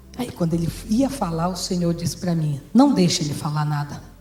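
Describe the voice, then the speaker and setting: Over music in the background, a woman speaks in an animated tone with very wide pitch swings and audible room echo. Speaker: pastor. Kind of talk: testimony.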